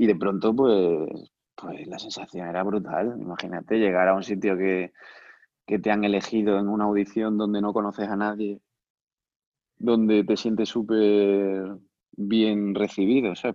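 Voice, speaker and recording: Speaking at a moderate pace, a man delivers his words in a flat monotone at a fairly low pitch. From Spain, Cáceres (Extremadura). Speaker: professional clarinetist and teacher. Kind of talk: interview, casual chat.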